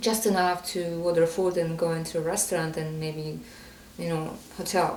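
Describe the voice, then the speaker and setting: A woman talks fairly slowly in a fairly low, monotone voice with flat intonation and a non-native accent. Audible room echo and noticeable background noise are present. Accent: foreign. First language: not English. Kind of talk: podcast interview. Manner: halting.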